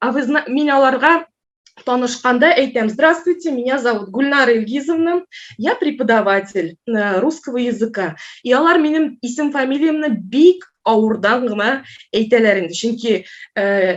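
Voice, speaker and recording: A woman speaks with a Tatar accent at a high pitch. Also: moderate pace. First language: Tatar (speaking Russian). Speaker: Russian language teacher. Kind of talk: conference talk. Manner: hesitant, many filler sounds.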